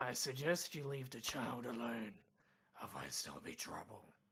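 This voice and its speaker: Man in a put-on character voice at a medium pitch and a moderate pace. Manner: threatening.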